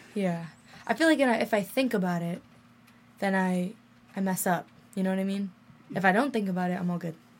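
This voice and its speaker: A woman with a medium pitch and ordinary pitch variation speaks at a fairly quick pace. Her somewhat breathy delivery is broken by long, frequent pauses. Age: young. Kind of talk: casual chat. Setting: studio.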